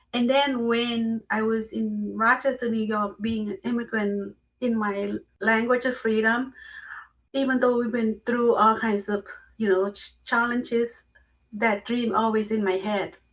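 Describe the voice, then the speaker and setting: Someone with a Lao accent speaks at a fairly slow pace in a monotone, flat intonation. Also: woman. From Laos. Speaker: memoir author and speaker. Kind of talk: interview.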